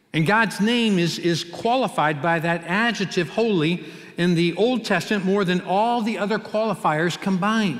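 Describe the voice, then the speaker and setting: A man with an American accent and a high pitch, moderate pace, ordinary pitch variation and very even loudness, with faint music in the background. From US Midwest, Cincinnati; Ohio. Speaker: pastor. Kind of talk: sermon. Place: church. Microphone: headset.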